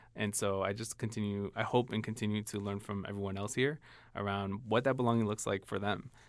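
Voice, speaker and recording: A man with a Chicago accent, a fairly low pitch and monotone, flat intonation. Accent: Chicago American English. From US Midwest, Chicago. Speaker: diversity training specialist and co-host. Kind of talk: casual chat. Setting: studio.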